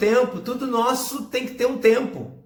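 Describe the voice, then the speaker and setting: Audible room echo surrounds the man as he talks. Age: 40s. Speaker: pastor. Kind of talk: sermon.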